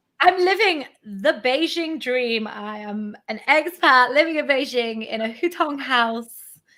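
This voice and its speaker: A woman speaks in a raised, projected voice, high-pitched with a bright, sharp tone. Her intonation is lively, and her loudness swings widely. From northeast England, Morpeth near Newcastle. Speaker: YouTuber, expat in China. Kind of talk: casual chat on livestream.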